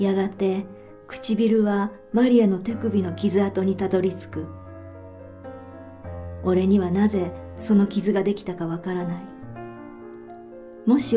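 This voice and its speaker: Music plays behind a woman speaking at a fairly slow pace. She keeps her intonation fairly even and takes long, frequent pauses. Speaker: author reading her own fiction; audiobook narrator. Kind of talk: literary short story reading (audiobook).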